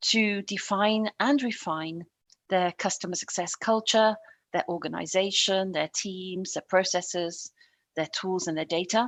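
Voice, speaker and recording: Speaking slowly-ish at a fairly slow pace, a woman with a British accent talks at medium pitch with ordinary pitch variation. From England. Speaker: customer success consultant. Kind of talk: podcast interview.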